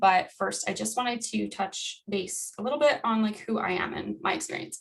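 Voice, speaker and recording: A woman at a fairly high pitch and fairly quick pace, with noticeable background noise. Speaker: wildlife educator. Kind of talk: educational presentation. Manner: fast.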